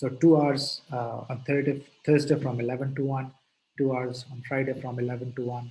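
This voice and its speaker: A somewhat breathy, dark and mellow tone, monotone and flat in intonation, at a moderate pace. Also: man, medium pitch for a man. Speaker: lecturer. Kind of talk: lecture.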